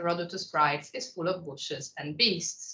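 At a moderate pace, a woman speaks with audible room echo around her. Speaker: visiting lecturer. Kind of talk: lecture. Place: classroom.

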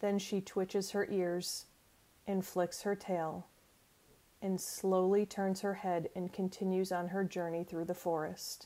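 At a fairly slow pace, a woman speaks in a dark, mellow, soothing tone at medium pitch, with monotone, flat intonation and very even loudness. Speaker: life coach. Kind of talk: guided imagery meditation, second-person sensory narration; guided meditation narration. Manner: slow, soothing, gently paced with calming pauses; warm, encouraging and friendly. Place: home room. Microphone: earbuds.

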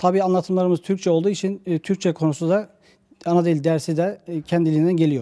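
Against a quiet background, a man with a dark, mellow tone and a high pitch speaks at a very fast pace with fairly even intonation. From Turkey, Kütahya; Turkey. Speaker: Quran and religion teacher; religion teacher. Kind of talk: interview. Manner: halting, many filler sounds. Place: office. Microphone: handheld.

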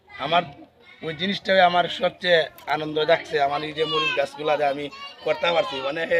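A high-pitched man with ordinary pitch variation amid noticeable background noise. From Bangladesh, Habiganj (Sylhet region); Bangladesh. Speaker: farmer. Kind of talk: casual interview. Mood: proud, happy. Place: garden. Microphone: phone near.

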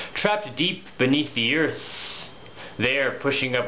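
The voice carries a theatrical, playful tone over light background noise. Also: man. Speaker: poet. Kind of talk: spoken word poetry, dark macabre Halloween poem. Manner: theatrical, rhythmic, playful-sinister. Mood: dark, playful Halloween tone.

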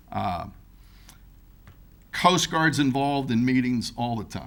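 A man's voice carries audible room echo. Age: 60s. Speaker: boat race event organizer. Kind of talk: public comment at council meeting. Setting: city hall chambers.

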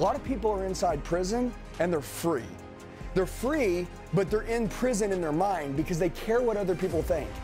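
With music in the background, a man speaks in a high pitch and an intense tone. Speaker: sales trainer and motivational speaker. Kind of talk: live motivational speech to a sales audience. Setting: live training room with an audience. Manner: direct, forceful, intense, blunt.

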